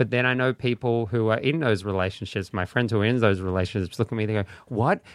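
With an Australian accent, a man talks at a very fast pace and medium pitch, with ordinary pitch variation, in a dry, close sound with no echo. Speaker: comedian. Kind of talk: casual chat. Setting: studio.

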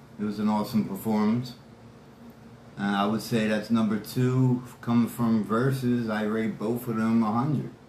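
This man has a medium pitch and a dark, mellow tone with an American accent. Audible room echo surrounds his voice. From Philadelphia, Pennsylvania. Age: 40s. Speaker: hip hop fan guest. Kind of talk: casual interview chat. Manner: animated.

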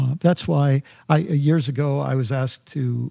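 A man talks at a fairly slow pace with a fairly high pitch, a dark, mellow tone and a somewhat breathy quality, using ordinary pitch variation. The sound is dry and close with no echo, on a very clean recording with a silent background. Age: 60s. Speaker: spiritual teacher and faculty dean. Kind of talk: casual conversation.

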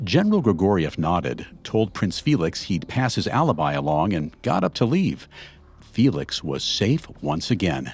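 A man's very deep, low voice with vocal fry, very wide pitch swings and a dramatic, serious tone at a moderate pace. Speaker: podcast host. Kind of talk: true-crime narration. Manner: dramatic, measured storytelling delivery; serious, suspenseful, steady pacing.

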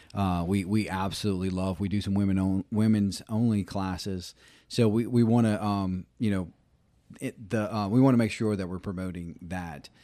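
A man's dark, mellow voice at fairly low pitch with a Southern US accent, moderate in pace, on a very clean recording with a silent background. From Louisiana, US South. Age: 40s. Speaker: mountain bike instructor. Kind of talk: casual chat.

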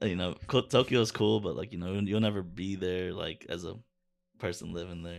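In a very clean recording with a silent background, a man with a very deep, low voice speaks with fairly even intonation and an American accent. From Chicago. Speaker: visual artist. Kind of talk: casual chat.

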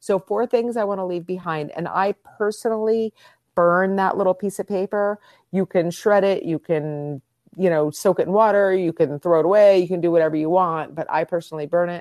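A woman with an ordinary speaking voice talks at a fairly quick pace and a medium pitch. The sound is dry and close with no echo, over a quiet background. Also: ordinary pitch variation. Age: 50s. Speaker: body image coach. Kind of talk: casual interview.

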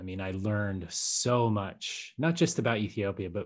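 With an American accent and a plain, everyday voice, a man speaks at a moderate pace and fairly low pitch, with ordinary pitch variation against a quiet background. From Colorado. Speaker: podcaster and Peace Corps veteran. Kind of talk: casual chat.

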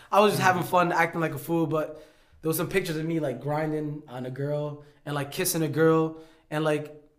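With an American accent, a man speaks very fast in a fairly high, monotone, flat voice, with audible room echo and noticeable background noise. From New York. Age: 20s. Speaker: YouTuber and boxer. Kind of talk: casual chat.

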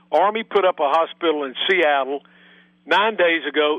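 A man at a fairly high pitch, ordinary pitch variation and a moderate pace. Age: 60s. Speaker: medical doctor. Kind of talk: interview. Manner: animated.

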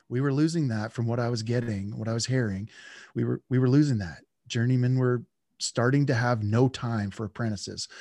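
A man with a Western Canadian accent, medium pitch and a dark, mellow tone, at a fairly quick pace with fairly even intonation, in a dry, close sound with no echo over a quiet background. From central British Columbia, Canada. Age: 40s. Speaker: lineman and podcast host. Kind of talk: interview conversation.

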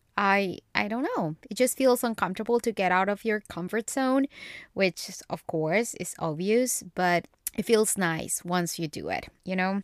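In a Spanish accent, a woman speaks at a medium pitch with ordinary pitch variation, on a very clean recording with a silent background and a dry, close sound with no echo. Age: 20s. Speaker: podcast host. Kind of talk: casual chat. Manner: animated.

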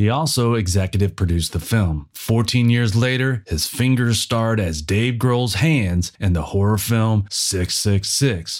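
A man with an ordinary speaking voice, fairly low in pitch and fairly slow, with ordinary pitch variation, very even loudness and hardly any pauses, in a very clean recording with a silent background. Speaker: documentary narrator. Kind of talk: audio documentary narration. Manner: even, polished, measured narrator delivery; authoritative, steady, informative.

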